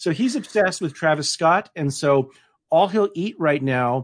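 This man has a plain, everyday voice, fairly high in pitch, with a General American accent. He speaks at a moderate pace against a quiet background. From Denver, Colorado. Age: middle-aged. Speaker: novelist. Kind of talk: interview.

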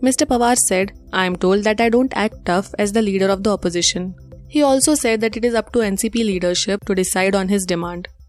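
Music plays behind a woman speaking at a fairly quick pace with hardly any pauses. Her medium pitch has ordinary variation, and her loudness stays very even. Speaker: news presenter. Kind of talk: news reading, a scripted bulletin of headlines. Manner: formal; steady, even-paced delivery.

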